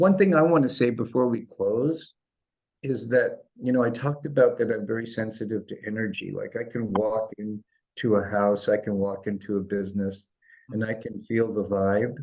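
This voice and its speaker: Here is an ordinary speaking voice from a man, medium in pitch. He talks at a moderate pace against a quiet background. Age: 60s. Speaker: chiropractor and holistic healer. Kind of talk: interview.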